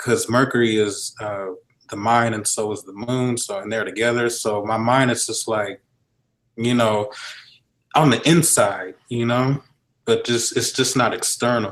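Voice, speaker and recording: In a normal speaking voice, a man talks fairly slowly at a medium pitch with fairly even intonation. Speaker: astrologer. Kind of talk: casual chat. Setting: live video stream.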